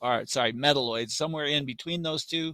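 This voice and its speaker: The very clean recording has a silent background and a dry, close sound with no echo, carrying a man's bright, sharp, fairly high voice with ordinary pitch variation. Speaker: science teacher. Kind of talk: lecture.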